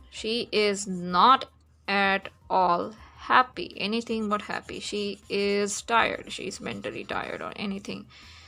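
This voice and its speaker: A woman speaks at medium pitch and a fairly slow pace with a non-native accent. Her tone is bright and sharp, her loudness swings widely, and the recording is very clean with a silent background. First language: not English. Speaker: digital artist, art youtuber. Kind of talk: casual drawing tutorial chat. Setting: home flat near road. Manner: halting, many fillers. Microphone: voice too quiet vs music.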